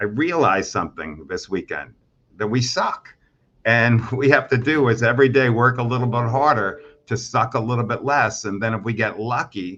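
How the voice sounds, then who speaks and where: This man has a normal speaking voice at a medium pitch. His pitch moves in an ordinary way. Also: moderate pace. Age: 60s. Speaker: mortgage executive. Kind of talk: interview.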